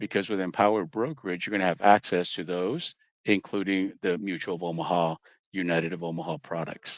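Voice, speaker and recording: His pitch is very deep and low. The man talks fairly quickly, with fairly even intonation. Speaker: insurance trainer. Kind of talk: online training presentation. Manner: fast.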